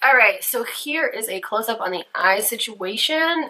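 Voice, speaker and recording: Her intonation lively, a woman speaks. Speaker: beauty vlogger. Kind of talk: makeup tutorial. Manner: casual, chatty; quiet during detailed work.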